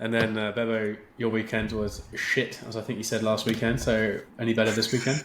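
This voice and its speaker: A man with an English accent, medium-pitched and monotone, at a moderate pace with hardly any pauses, over noticeable background noise. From England. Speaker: podcast host. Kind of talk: casual chat.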